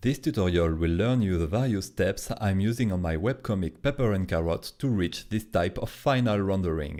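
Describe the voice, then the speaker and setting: In a French accent, a man speaks at a moderate pace with hardly any pauses, his dark, mellow, fairly low voice holding very even loudness while his intonation stays lively. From France. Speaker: comic artist. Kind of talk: tutorial. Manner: hesitant.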